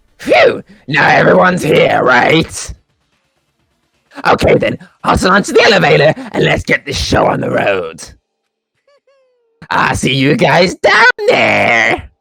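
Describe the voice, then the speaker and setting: Using a put-on character voice, a man talks at a fairly slow pace with long, frequent pauses. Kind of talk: comic overacting. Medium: fan dub. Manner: sing-song, playful.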